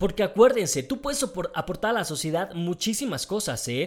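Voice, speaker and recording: A man speaks with a high pitch and a Mexican accent, his intonation lively and his tone animated. The recording is very clean, with a silent background. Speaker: podcast host. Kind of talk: casual monologue.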